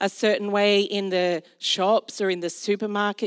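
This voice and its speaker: In an Australian accent, a woman with a medium pitch speaks at a fairly slow pace with fairly even intonation. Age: 40s. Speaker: pastor. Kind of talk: sermon. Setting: church.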